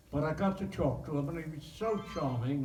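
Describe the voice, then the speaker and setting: A man's speech, set at a moderate pace and showing ordinary pitch variation, comes with noticeable background noise behind it. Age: 80s+. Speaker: actor. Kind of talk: interview answer.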